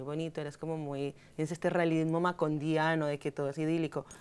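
A woman with a Bogotá accent speaks in a very deep, low pitch with monotone, flat intonation. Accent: Bogotá Colombian Spanish. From Colombia, Bogotá. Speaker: journalist. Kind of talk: interview. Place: studio. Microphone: lapel.

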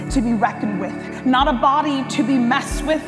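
Clear background music plays as a woman talks. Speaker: spoken word poet. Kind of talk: spoken word poetry performance. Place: hall. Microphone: lapel.

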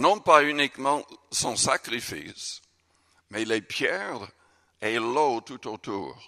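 A man at a very slow pace, with a bright, sharp tone, ordinary pitch variation, and a quiet background. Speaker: pastor. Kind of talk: sermon. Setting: church. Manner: earnest, forceful preaching with emphatic, urgent delivery. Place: church. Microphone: podium.

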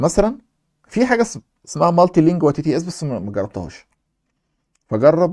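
A man speaks at a high pitch with very wide pitch swings and a fairly quick pace. He takes long, frequent pauses, on a very clean recording with a silent background. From Egypt. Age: young. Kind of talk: casual Q&A chat.

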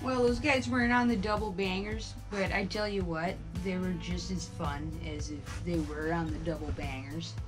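A woman speaks at a moderate pace with clear music playing in the background. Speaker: fishing vlogger. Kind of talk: casual vlog chat. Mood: playful, joking. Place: tent. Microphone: camera far.

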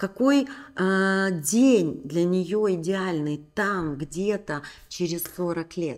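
A woman talks at a very slow pace with lively intonation. The background is quiet. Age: 40s. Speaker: women's coaching channel host. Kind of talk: motivational talk to camera. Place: home room. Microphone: studio mic.

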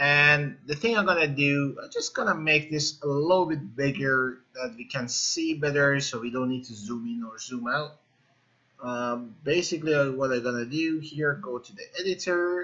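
Against a quiet background, a man speaks at a moderate pace with ordinary pitch variation and big swings in loudness. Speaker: programming instructor. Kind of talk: tutorial. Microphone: webcam.

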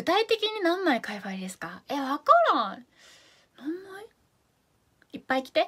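In a Fukuoka accent, a woman speaks at a high pitch and a moderate pace with an animated tone, very wide pitch swings, big swings in loudness, and long, frequent pauses against a quiet background. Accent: Hakata dialect. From Japan, Fukuoka; Japan. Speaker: idol live streamer. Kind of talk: live stream chat reading comments. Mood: cheerful, playful. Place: home room. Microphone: phone near.

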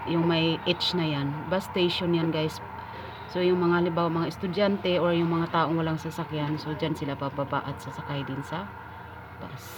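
Noticeable background noise sits behind the voice. The speaker keeps a moderate pace. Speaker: vlogger. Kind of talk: casual vlog narration. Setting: outdoors on location, evening. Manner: casual, conversational.

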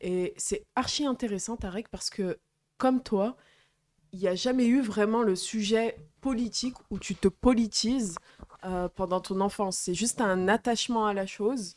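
A woman with a plain, everyday voice speaks fairly slowly at a fairly high pitch, with ordinary pitch variation. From Algerian background. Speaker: activist. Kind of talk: casual chat. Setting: live stream studio. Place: home room. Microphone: handheld.

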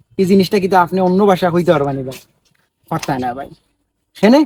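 This man has a high-pitched voice with lively intonation. He speaks with a Sylheti accent. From Sylhet region, Bangladesh. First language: Sylheti (speaking Bengali). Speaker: social media video maker. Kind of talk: vlog monologue. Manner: animated.

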